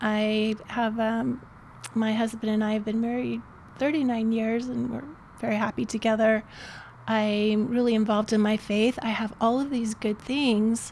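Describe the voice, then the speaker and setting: A woman at a fairly slow pace and fairly high pitch, monotone and flat in intonation, over noticeable background noise. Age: 60s. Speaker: life coach. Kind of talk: interview.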